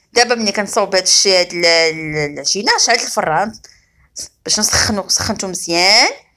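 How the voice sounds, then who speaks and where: With a Moroccan accent, a woman talks at a moderate pace and medium pitch in a bright, sharp tone, with ordinary pitch variation and very even loudness. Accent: Moroccan Darija. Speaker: cooking channel host. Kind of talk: cooking tutorial.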